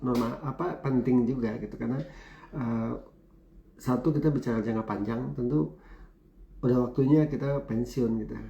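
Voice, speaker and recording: A man with a dark, mellow tone and medium pitch talks at a moderate pace, somewhat breathy, with ordinary pitch variation. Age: 50s. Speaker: university lecturer and business speaker. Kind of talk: talk show interview.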